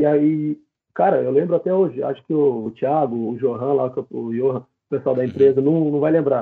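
Here a man speaks at a moderate pace, fairly high in pitch with ordinary pitch variation, an ordinary speaking voice. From interior of São Paulo state, Brazil. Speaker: professional footballer. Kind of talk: casual interview. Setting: live-streamed podcast.

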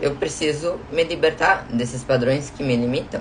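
A woman talks fairly slowly in a very deep, low voice over noticeable background noise. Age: 20s. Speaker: podcast host and self-knowledge coach. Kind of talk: recorded live stream talk.

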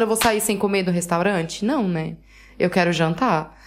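A woman with a Brazilian accent on a very clean recording with a silent background. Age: 20s. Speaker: podcast co-host. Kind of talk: casual chat.

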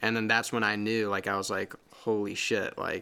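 A man with an American accent, fairly low pitch, bright, sharp tone and moderate pace. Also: very clean recording, silent background. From US Midwest, St. Louis area, Missouri. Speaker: audio engineer and music producer. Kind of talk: casual chat. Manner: hesitant, many fillers.

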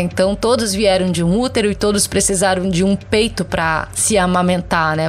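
Over noticeable background noise, a woman talks at a fairly quick pace with a medium pitch and fairly even intonation. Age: 30s. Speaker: social media content creator. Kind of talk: interview.

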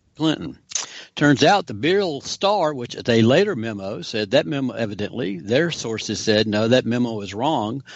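An unremarkable speaking voice carries lively intonation at a moderate pace. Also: man, medium pitch for a man. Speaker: investigative reporter. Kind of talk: political discussion.

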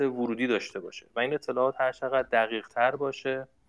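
Talking at a very fast pace, a man with a medium-pitched voice comes across in a dry, close recording with no echo. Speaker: university researcher in smart machines. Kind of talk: interview. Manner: halting with fillers.

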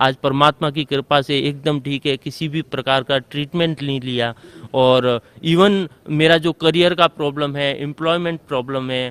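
A plain, everyday voice from a man, fairly high in pitch, with fairly even intonation at a moderate pace, in a dry, close sound with no echo. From Rajasthan, India. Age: 20s. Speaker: coaching centre owner, devotee. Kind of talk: testimony.

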